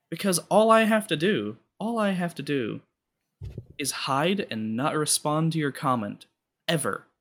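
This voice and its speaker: The speaker leaves long, frequent pauses. Their pitch swings very widely. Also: man, fairly high pitch for a man, fairly slow pace, very clean recording, silent background. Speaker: podcast guest. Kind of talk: casual chat. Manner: talkative.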